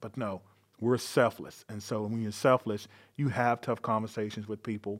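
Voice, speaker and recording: In a very clean recording with a silent background, a man with an American accent talks at a medium pitch with fairly even intonation in an unremarkable speaking voice. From North Carolina. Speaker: police chief. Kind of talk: interview.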